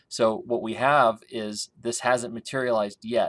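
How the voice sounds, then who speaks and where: Here is a man in a normal speaking voice, at medium pitch with ordinary pitch variation. He talks at a fairly slow pace on a very clean recording with a silent background. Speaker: grain market consultant. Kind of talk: market analysis tutorial. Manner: casual with fillers.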